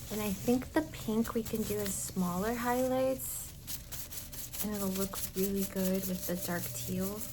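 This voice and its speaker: A woman with a gentle tone speaks at a fairly slow pace against noticeable background noise. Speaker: ASMR artist. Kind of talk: ASMR roleplay, hair-dye session. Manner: soft, gentle, casual.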